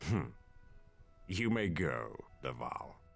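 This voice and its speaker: A man puts on a raspy character voice with a very deep, low pitch and very wide pitch swings. Faint music plays in the background. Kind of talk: regal. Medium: video game.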